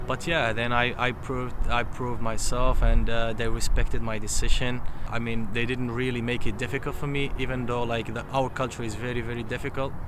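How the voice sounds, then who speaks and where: A man talks at a fairly quick clip with hardly any pauses, in a monotone, flat delivery. Noticeable background noise and audible room echo sit behind him. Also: medium pitch for a man. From Libya (Berber). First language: Tamazight (Berber). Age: 30s. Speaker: interviewee, businessman. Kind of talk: interview. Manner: halting, many fillers and repetitions.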